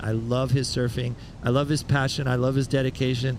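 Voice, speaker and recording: A man is speaking. Noticeable background noise and audible room echo fill the recording. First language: Spanish. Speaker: surf commentator. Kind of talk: live commentary.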